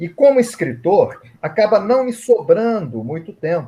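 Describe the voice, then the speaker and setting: A man speaks very slowly in a somewhat breathy voice. His intonation is lively. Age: 60s. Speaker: reiki master and author. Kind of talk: interview at online event. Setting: online live event.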